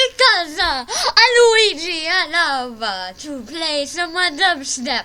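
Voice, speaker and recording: This put-on character voice is extremely high and very slow. There are hardly any pauses. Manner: cheerful, excited.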